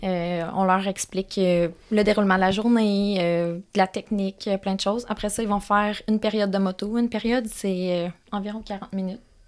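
The delivery is monotone and flat, held at a moderate pace. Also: woman, medium pitch for a woman, hardly any pauses. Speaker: motocross track co-owner and coach. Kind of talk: casual chat. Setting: studio.

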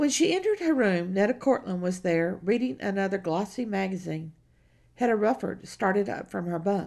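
Her voice is a plain, everyday voice of medium pitch. The woman keeps a moderate pace with lively intonation. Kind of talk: audiobook narration of a period novel, reading aloud with character dialogue. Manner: measured, storytelling pace, steady literary narration.

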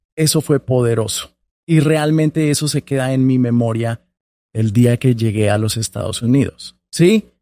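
Dark, mellow medium pitch from a man at a fairly slow pace, ordinary pitch variation, dry and close with no echo. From Colombia, small town. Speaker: public affairs director at a nonprofit. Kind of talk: interview conversation.

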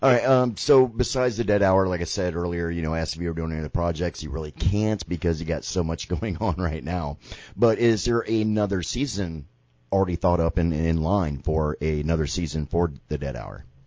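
A man's very deep, low pitch with ordinary pitch variation at a fairly quick pace. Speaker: radio host. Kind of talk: casual chat. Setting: studio. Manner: animated.

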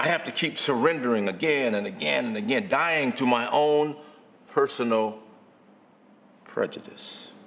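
The man has a fairly high pitch and lively intonation at a moderate pace. He takes long, frequent pauses, and the room echo is audible. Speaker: guest preacher. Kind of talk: sermon.

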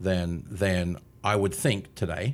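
The recording is very clean with a silent background, and the speaker has an Australian accent. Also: man. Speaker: marketing consultant. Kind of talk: casual interview.

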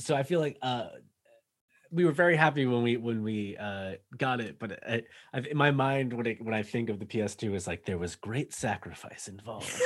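Speaking fairly quickly in an East Coast US accent, a man uses a medium pitch with ordinary pitch variation. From Massachusetts, north of Boston. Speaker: podcast guest. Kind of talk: casual chat.

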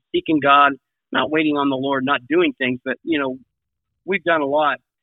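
Fairly high-pitched male voice at a moderate pace, an ordinary speaking voice. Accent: American. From US Midwest. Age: 60s. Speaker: evangelist. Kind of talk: casual interview chat, faith-focused.

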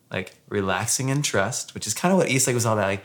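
A man with an ordinary speaking voice talks at a fairly quick pace and a medium pitch. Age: 40s. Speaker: former pastor. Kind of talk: casual chat. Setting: home.

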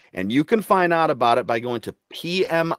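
Speaking at a moderate pace, a man with an unremarkable speaking voice uses lively intonation. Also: dry, close sound with no echo. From Michigan, US Midwest. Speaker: army veteran and program manager. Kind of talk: interview. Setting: remote recording.

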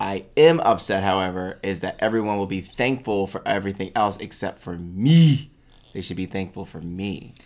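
Over a silent background in a very clean recording, a man with an unremarkable speaking voice talks at a fairly low pitch with lively intonation. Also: moderate pace, big swings in loudness. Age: 30s. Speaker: podcast co-host. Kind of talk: casual chat. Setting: studio.

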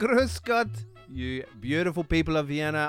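A man talks very slowly on a very clean recording, the background silent. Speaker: podcast co-host. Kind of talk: casual chat. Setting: studio. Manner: animated.

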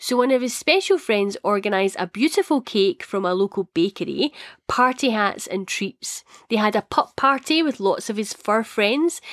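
On a very clean recording with a silent background and a dry, close sound with no echo, a woman with a Scottish accent speaks at a moderate pace, fairly high in pitch, with lively intonation. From Scotland. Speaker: podcast host. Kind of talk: solo podcast chat.

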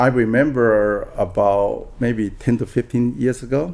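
A man speaks with a Taiwanese accent. His tone is dark and mellow. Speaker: real estate broker. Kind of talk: interview. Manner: halting.

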